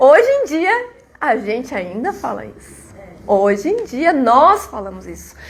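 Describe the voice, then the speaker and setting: With noticeable background noise behind her, a woman speaks in very wide pitch swings. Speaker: spiritist lecturer. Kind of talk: lecture.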